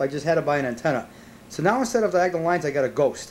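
A man speaks with a high pitch and lively intonation. Light noise sits in the background. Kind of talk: casual home video narration. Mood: wry, joking. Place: home room. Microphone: old recording.

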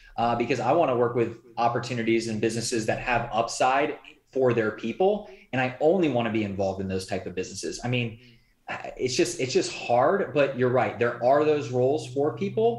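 A somewhat breathy man with an American accent talks at a fairly quick pace with ordinary pitch variation, and audible room echo surrounds him. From Indiana, US Midwest. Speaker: entrepreneur and business coach; business coach. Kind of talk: interview conversation. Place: home room. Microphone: video call.

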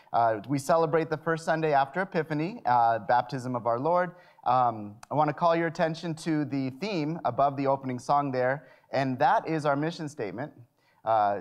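A man holds a moderate pace and ordinary pitch variation against a quiet background. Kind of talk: worship announcements. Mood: friendly, light humor. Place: church.

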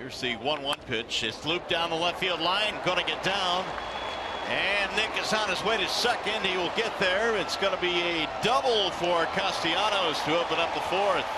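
A man is speaking over loud background noise. The sound is dry with no echo. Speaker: baseball play-by-play announcer. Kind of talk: live baseball play-by-play commentary, rapid call of each pitch and play. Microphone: headset.

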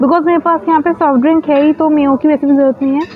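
The speaker uses fairly even intonation against faint background noise. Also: woman.

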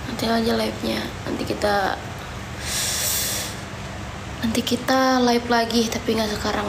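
Over noticeable background noise, a woman sounds tired as she speaks at a moderate pace. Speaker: livestreamer. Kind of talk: casual livestream chat. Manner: tired, pained, low voice. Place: home room. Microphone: phone near.

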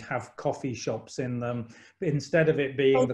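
A man speaks at a medium pitch with a British accent, somewhat breathy and at a fairly quick pace. His pitch varies in an ordinary way against a quiet background. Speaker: college principal and event host; event host. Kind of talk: online interview webinar. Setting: video call from home. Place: home room. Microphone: video call.

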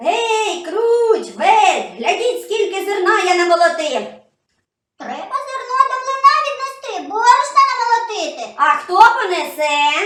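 A cartoonish character voice sits at an extremely high pitch. A slight echo is audible. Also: moderate pace. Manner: brisk, hearty.

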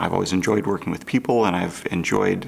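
This man has a very deep, low pitch. He speaks with an American accent. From US Midwest, St. Louis, Missouri; Missouri. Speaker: physician. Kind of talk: promotional self-introduction. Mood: calm, friendly. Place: studio.

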